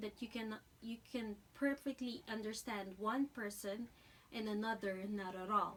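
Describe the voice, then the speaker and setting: A woman with a Filipino accent speaks at a fairly slow pace. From Philippines. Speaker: dental hygiene student. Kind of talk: class speech. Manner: halting.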